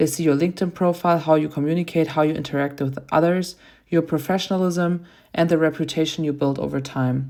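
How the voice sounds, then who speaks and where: A woman with a non-native accent and a very deep, low pitch, very fast and monotone with flat intonation, on a very clean recording with a silent background. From outside the US. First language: not English. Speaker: graduate student and volleyball player. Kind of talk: class presentation. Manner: prepared, read-aloud delivery.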